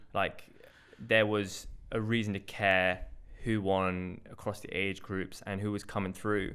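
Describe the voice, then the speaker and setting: A man with a London accent speaks at a fairly slow pace in a fairly low pitch. His tone is bright and sharp, his intonation monotone and flat. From North London, England. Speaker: podcast host and hurdler. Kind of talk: casual chat.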